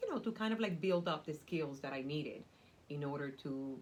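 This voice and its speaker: A somewhat breathy woman with a Cuban accent, very deep and low in pitch, with very wide pitch swings. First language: Spanish. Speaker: nonprofit community development worker. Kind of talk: interview. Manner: animated.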